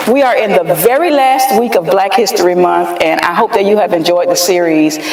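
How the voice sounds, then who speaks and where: A fairly quick pace over noticeable background noise. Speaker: podcast host. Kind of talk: interview. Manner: louder.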